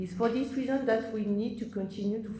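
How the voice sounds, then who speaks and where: A woman is speaking. Room echo is audible. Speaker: oncology professor. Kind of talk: conference presentation. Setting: conference stage with audience. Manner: halting with fillers.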